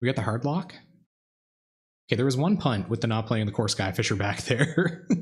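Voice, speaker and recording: Soft-spoken and somewhat breathy, a man talks at a fairly quick pace in a medium pitch with lively intonation, broken by long, frequent pauses. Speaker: card game streamer. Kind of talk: live gameplay commentary. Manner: casual, halting.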